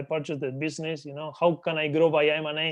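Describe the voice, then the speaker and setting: Talking at a very fast pace, a man has a fairly high pitch. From Argentina. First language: Spanish. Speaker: business acquisitions entrepreneur. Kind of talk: interview.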